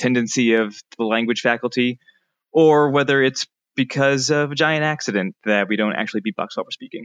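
A normal speaking voice with ordinary pitch variation. The pace is fairly quick. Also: man. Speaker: linguistics researcher. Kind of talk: interview. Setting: remote from California.

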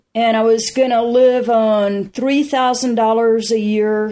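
Fairly even intonation at a moderate pace in a Southern US accent, on a very clean recording with a silent background. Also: woman. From US South, South Carolina. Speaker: alpinist. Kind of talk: casual interview. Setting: in person at an ice climbing festival. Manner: halting, with many fillers.

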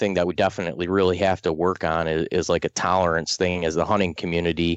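This is a man speaking with an American accent. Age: 30s. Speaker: hunter and podcast host. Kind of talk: casual interview.

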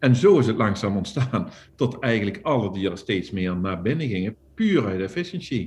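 Somewhat breathy, a man speaks at a fairly low pitch with lively intonation. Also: moderate pace. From Netherlands, northern Limburg. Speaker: poultry farmer and entrepreneur. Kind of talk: casual interview.

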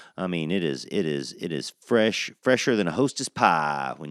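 In an American accent, a man speaks at a moderate pace with vocal fry and very wide pitch swings. The recording is very clean against a silent background. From US South (Georgia). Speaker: podcast host, cannabis grower. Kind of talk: solo podcast monologue. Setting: recorded on a porch. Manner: casual, many fillers.

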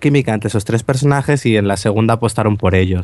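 Talking at a very fast pace, a man speaks at a medium pitch with fairly even intonation. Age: 20s. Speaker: podcast co-host. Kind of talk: casual chat.

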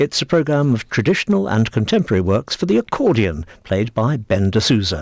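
A man speaks fairly quickly at a medium pitch, his loudness very even while his pitch swings very widely. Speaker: radio presenter. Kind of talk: radio announcer reading a concert calendar. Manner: clear, measured, formal broadcast delivery.

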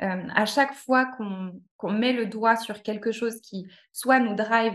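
A woman with a normal speaking voice speaks at a fairly high pitch with fairly even intonation. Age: 30s. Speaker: cooking therapy practitioner. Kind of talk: interview.

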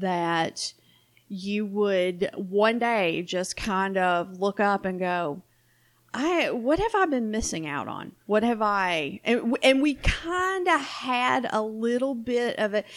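Very slow, lively speech from a woman with a fairly high pitch and a Southern US accent, on a very clean recording with a silent background. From US South. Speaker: podcast co-host. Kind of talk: casual chat.

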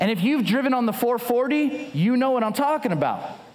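A man speaks with an American accent at an extremely high pitch. Noticeable background noise and audible room echo fill the recording. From Southern California. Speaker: guest pastor. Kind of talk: sermon.

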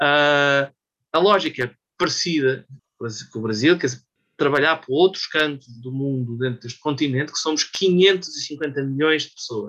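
Bright and sharp in tone, this man's voice sits at a fairly high pitch with ordinary pitch variation. He talks at a fairly slow pace. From Portugal, Lisbon. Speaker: economist and business consultant. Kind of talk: casual chat.

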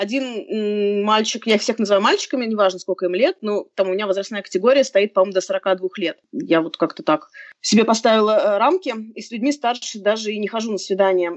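An unremarkable speaking voice from a woman, fairly high in pitch, with ordinary pitch variation and a fairly quick pace. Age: 30s. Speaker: author and blogger on dating. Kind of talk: casual chat. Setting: video call.

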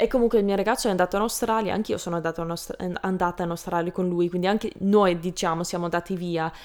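A woman with a medium pitch talks very fast with fairly even intonation on a very clean recording with a silent background. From Canada. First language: English (speaking Italian). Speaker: language learner and video creator. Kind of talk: interview. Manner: halting.

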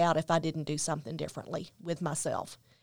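This is a woman speaking. She has a Tennessee accent. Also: very clean recording, silent background. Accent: Southern US (Tennessee). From US South, Memphis, Tennessee. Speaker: author and mother of a son with addiction. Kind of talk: interview testimony.

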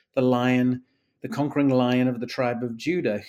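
A man with an East Midlands accent speaks at a medium pitch. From England, Nottingham (East Midlands). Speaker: professor of literature and theology. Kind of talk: interview.

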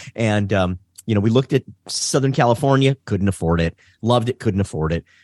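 A man speaks in a plain, everyday voice with an American accent, at medium pitch and a moderate pace, with ordinary pitch variation and a dry, close sound with no echo against a quiet background. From Detroit, Michigan. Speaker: race driving instructor. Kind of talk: casual interview.

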